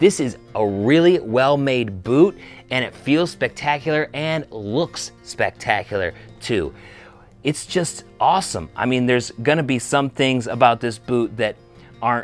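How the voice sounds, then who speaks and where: Faint music plays behind a man who speaks fairly slowly in a dry sound with no echo. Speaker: boot reviewer. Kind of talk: product review talk to camera. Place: shop. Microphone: lapel.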